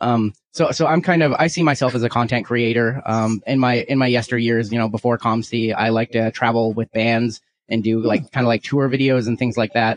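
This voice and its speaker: With an American accent, a man uses an unremarkable speaking voice at medium pitch, talking at a fairly quick pace with fairly even intonation and very even loudness. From US Pacific Northwest, small town near Seattle. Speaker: sports card collector, communications manager. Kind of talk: casual interview.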